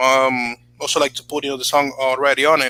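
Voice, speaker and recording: A man with a Spanish accent, fairly high-pitched and very fast, with a bright, sharp tone and a dry, close sound with no echo. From Dominican Republic. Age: 20s. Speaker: YouTuber and beat producer. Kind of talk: casual chat. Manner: halting, many fillers.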